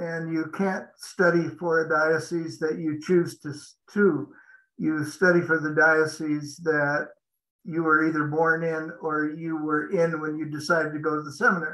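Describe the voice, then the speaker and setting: Against a quiet background, a man with a Western US accent talks at a fairly high pitch in a monotone, flat intonation. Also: moderate pace. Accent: American, western US. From Montana, US. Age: 70s. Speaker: franchise business consultant; interviewee. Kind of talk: interview. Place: home room. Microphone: video call.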